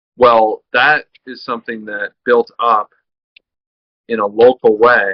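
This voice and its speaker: Speaking at a very slow pace, a man leaves long, frequent pauses while his loudness swings widely. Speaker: podcast interviewer. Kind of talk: conversational interview.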